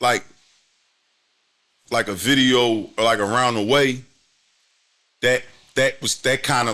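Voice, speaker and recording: A man with an American accent, a bright, sharp tone, fairly even intonation and a moderate pace, in a very clean recording with a silent background. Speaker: youth motivator and social media creator. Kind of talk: casual chat.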